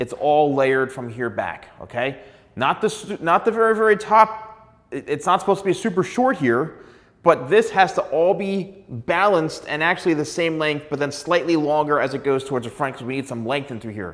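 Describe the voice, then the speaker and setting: Here a man speaks at a moderate pace. His intonation is lively. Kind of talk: tutorial. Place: studio. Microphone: lapel.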